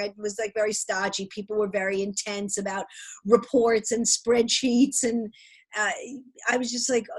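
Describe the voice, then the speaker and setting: With an American accent, the speaker delivers the words at a moderate pace. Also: woman. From Brooklyn, New York. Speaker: stand-up comedian, voice actress. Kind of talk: interview answer. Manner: sassy.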